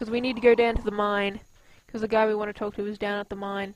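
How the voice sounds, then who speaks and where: At a fairly quick pace, a woman talks in a medium pitch with monotone, flat intonation. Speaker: gaming video creator. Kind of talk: let's play commentary. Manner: fast; casual chatty.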